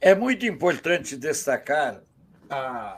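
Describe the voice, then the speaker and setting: At a very slow pace, a man speaks. His intonation is lively. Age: 60s. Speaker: journalist. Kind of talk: interview.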